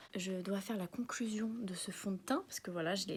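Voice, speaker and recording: With fairly even intonation, a woman talks fairly quickly at a medium pitch. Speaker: beauty vlogger. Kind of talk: product review vlog. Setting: at home. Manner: soft-spoken; casual, filler-heavy.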